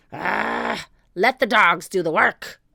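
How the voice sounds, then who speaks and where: This put-on character voice sits at a middle pitch. It is raspy and growling. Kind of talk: gruff pirate speech.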